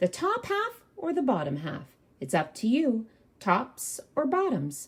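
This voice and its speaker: A woman uses a put-on character voice, pitched high. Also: fairly slow pace. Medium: read story. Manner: upbeat, persuasive.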